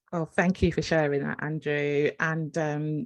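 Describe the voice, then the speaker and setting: Against a quiet background, a speaker with an English accent talks at a fairly slow pace. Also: woman. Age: 50s. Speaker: podcast host and nurse. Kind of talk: casual interview chat.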